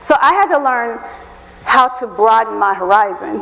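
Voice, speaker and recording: A woman's animated tone with very wide pitch swings, against noticeable background noise. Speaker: HR professional, guest speaker. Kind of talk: lecture. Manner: fast.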